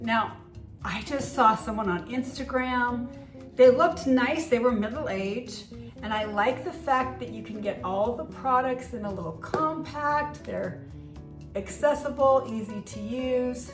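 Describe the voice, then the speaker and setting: A woman's fairly high voice with lively intonation and a fairly slow pace, big swings in loudness, audible room echo and music in the background. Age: 60s. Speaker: beauty vlogger. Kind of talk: product review vlog. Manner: casual, conversational.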